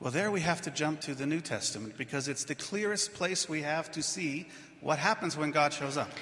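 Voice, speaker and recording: Noticeable background noise sits behind this man. His fairly high voice has ordinary pitch variation and moves at a fairly quick pace. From not Switzerland. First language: English (speaking German). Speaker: pastor. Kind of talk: sermon.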